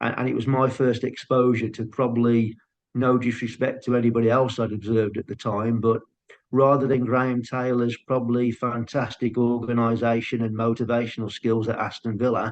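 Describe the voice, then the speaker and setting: At a fairly quick pace, a man with a strong Brummie accent speaks in a flat monotone at medium pitch. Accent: thick Brummie. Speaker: football scout and coach. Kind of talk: podcast interview. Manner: halting starts.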